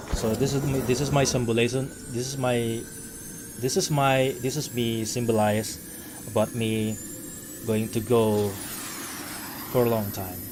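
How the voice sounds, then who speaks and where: Against noticeable background noise and audible room echo, a man speaks at a medium pitch with fairly even intonation and long, frequent pauses. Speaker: vtuber streamer. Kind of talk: casual live-stream talk. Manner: halting.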